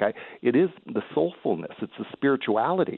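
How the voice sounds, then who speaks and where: A man speaks at a moderate pace in a plain, everyday voice. His pitch sits fairly high. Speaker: caller. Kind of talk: talk radio call. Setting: phone call.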